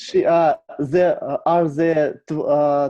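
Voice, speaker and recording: This man has a Russian accent. He talks at a very slow pace. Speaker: club participant. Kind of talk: casual chat. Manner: halting.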